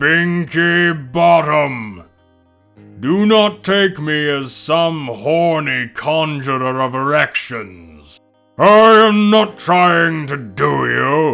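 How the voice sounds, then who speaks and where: Putting on a character voice, a man talks at a very slow pace with lively intonation and a fairly high pitch. Faint music plays in the background. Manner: yelling, indignant.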